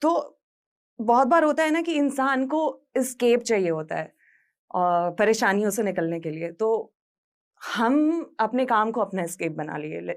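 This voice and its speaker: A woman speaks with a fairly high pitch. Her voice makes very wide pitch swings. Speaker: radio jockey. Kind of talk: motivational talk.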